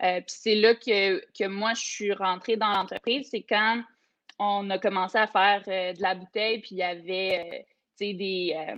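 An unremarkable speaking voice at a fairly slow pace, with fairly even intonation. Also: woman, medium pitch for a woman. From Quebec, Eastern Townships. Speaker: microbrewery co-owner. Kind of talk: interview.

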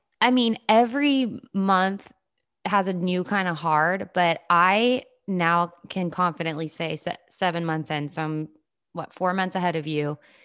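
In an American accent, a woman speaks at a fairly slow pace in a normal speaking voice, with fairly low pitch and ordinary pitch variation. The recording is very clean, the background silent. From US South. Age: 20s. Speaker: podcast host. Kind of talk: casual interview.

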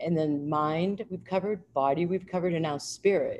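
A dark, mellow tone marks this woman's voice. She keeps a moderate pace. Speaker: mind body energy healer and author. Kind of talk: interview, conversational. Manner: animated, upbeat.

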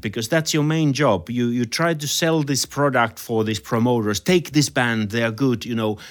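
Over a silent background on a very clean recording, a man with a Finnish accent speaks at a medium pitch with lively intonation. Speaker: podcast host and jazz musician. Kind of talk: interview.

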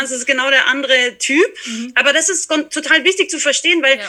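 A high-pitched woman's raised, projected voice over noticeable background noise. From Austria, small mountain village. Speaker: horse trainer and equine therapist. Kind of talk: casual interview.

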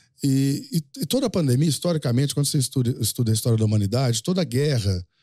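With a dark, mellow tone and a somewhat breathy quality, a man speaks at a fairly quick pace with ordinary pitch variation, in a dry, close sound with no echo on a very clean recording with a silent background. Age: 50s. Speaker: rural livestock auctioneer. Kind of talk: casual interview chat.

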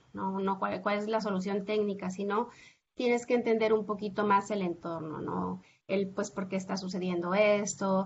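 This woman speaks at a medium pitch with fairly even intonation. Her pace is fairly slow. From Mexico, Zacatecas. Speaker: professor. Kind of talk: interview. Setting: video call. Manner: halting.

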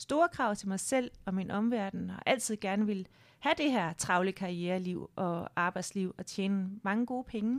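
A woman speaks at medium pitch and a moderate pace, with ordinary pitch variation and an ordinary speaking voice. The recording is very clean, with a silent background. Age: 40s. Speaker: board member and career change entrepreneur. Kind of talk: interview conversation. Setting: studio.

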